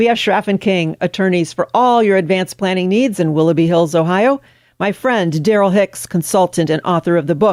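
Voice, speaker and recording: A woman with a medium-pitched voice and an upbeat tone talks at a fairly quick pace with hardly any pauses, ordinary pitch variation and very even loudness, in a very clean, silent-background recording with a dry, close sound and no echo. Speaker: radio host. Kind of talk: radio show outro.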